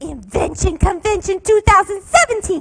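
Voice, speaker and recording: A put-on character voice, squeaky and extremely high in pitch, speaks at a fairly slow pace. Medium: stage play. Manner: playful, boastful, jokey.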